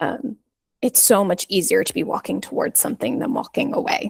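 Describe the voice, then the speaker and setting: At a moderate pace, a woman speaks in a somewhat breathy voice with a dry, close sound and no echo. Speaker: life coach. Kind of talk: casual interview chat.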